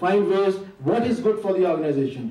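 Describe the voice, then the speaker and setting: A high-pitched man at a moderate pace, with audible room echo. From Pakistan. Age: 50s. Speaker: community association leader. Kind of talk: tribute speech.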